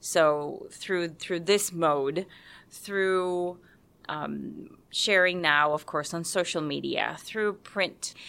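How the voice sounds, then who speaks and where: A woman with a Spanish accent speaks very slowly in a bright, sharp tone, with fairly low pitch and fairly even intonation. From Puerto Rico, San Juan. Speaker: university staff, lay religious member. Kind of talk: interview testimony.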